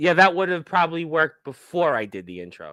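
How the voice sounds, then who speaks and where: A man speaks at a very fast pace in an animated tone. The recording is very clean, with a silent background. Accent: Brooklyn. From New York, Brooklyn. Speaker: wrestling radio host. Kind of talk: casual interview.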